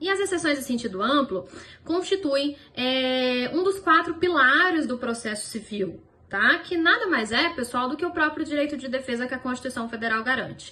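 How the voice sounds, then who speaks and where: Lively intonation carries through a raised, projected voice. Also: woman. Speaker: law professor. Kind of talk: lecture.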